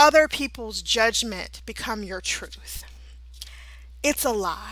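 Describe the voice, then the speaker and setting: There is a woman speaking on a very clean recording with a silent background. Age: 30s. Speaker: holistic therapist and podcast host. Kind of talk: motivational talk. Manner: passionate, at times out of breath.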